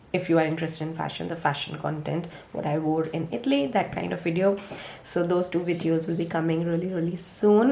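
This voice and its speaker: A woman talks very fast at a fairly low pitch, her pitch rising and falling in an ordinary way. There is audible room echo and noticeable background noise. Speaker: lifestyle vlogger. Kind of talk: casual vlog talk.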